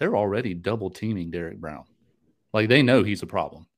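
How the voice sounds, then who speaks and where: A plain, everyday voice with an American accent shows ordinary pitch variation. The recording is very clean, with a silent background. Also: man. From North Carolina. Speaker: sports podcast host. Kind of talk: casual chat.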